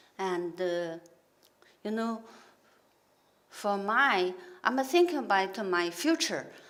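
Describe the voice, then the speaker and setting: A woman with a Chinese accent talks at a very slow pace with ordinary pitch variation. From China. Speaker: injured worker. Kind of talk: testimony. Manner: halting.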